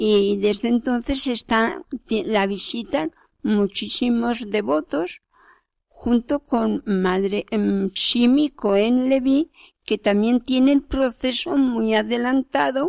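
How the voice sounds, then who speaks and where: Very slowly, a woman speaks with lively intonation and very even loudness. The recording is very clean and dry, close with no echo and a silent background. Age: 80s+. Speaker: cloistered nun. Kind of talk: interview. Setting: convent.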